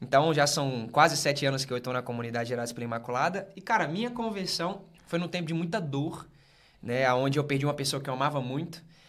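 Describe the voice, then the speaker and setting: This man speaks with a fairly high pitch and lively intonation. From northern Minas Gerais, Brazil. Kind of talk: casual podcast interview, faith testimony.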